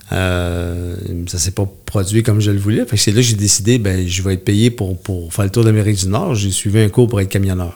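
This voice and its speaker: Here is a man with an ordinary speaking voice. His pitch is fairly low, and he talks at a fairly quick pace. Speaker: community worker for men's services. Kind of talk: interview.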